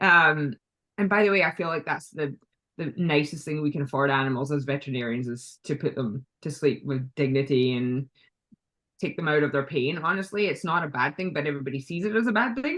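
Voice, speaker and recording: Lively intonation at a fairly quick pace, in a Scottish accent. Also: woman, very deep, low pitch for a woman. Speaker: veterinarian. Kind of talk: casual interview chat. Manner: hesitant, many fillers.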